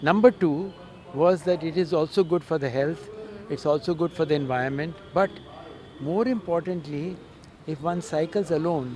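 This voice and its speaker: A man with a fairly high pitch and ordinary pitch variation talks at a moderate pace against noticeable background noise. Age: 70s. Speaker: retired professor and cyclist. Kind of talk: interview.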